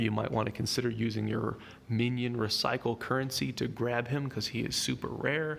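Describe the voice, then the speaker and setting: The man talks at a medium pitch with fairly even intonation. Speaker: gaming YouTuber. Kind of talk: game tutorial commentary. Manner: fast; casual.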